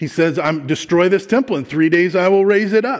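Only a quiet background sits behind this man's voice. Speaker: pastor. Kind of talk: sermon. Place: church.

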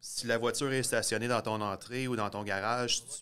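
A man's bright, sharp voice moves at a moderate pace with monotone, flat intonation. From eastern Ontario. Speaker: science video producer and host; host. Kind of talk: casual explainer chat. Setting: garage. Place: garage.

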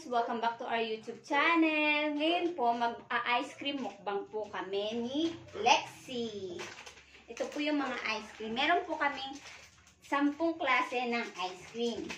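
A woman speaks in a high pitch at a fairly slow pace, with audible room echo and light background noise. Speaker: vlogger. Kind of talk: casual vlog chat. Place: home room. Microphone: phone near.

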